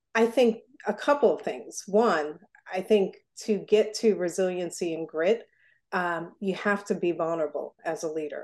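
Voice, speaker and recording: A plain, everyday voice with an American accent speaks at a fairly slow pace. Pitch variation is ordinary, and the background is quiet. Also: woman. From Newark, New Jersey. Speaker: foundation president. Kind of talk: interview.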